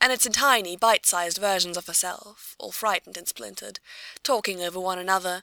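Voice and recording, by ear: A natural voice reading aloud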